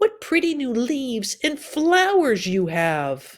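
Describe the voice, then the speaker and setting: A put-on character voice, high in pitch with very wide pitch swings, moves at a fairly slow pace in a very clean recording with a silent background. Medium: read story.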